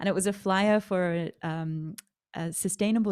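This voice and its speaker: A woman with an Australian accent, fairly even intonation, and a very clean recording with a silent background. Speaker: author and sustainable food founder. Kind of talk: interview.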